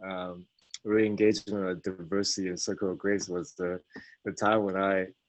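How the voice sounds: At a moderate pace, a man speaks in a low pitch with little pitch movement.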